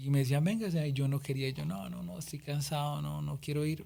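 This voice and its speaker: A man speaks at a fairly quick pace in a fairly high pitch, with a dark, mellow tone and a somewhat breathy quality. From Colombia, Boyacá. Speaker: singer-songwriter. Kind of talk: interview.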